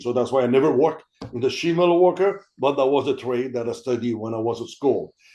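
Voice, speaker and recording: A man speaks with a Quebec accent and a dark, mellow tone. The background is quiet. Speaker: army veteran and veterans' career program representative. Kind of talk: panel discussion. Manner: halting, many fillers and repetitions.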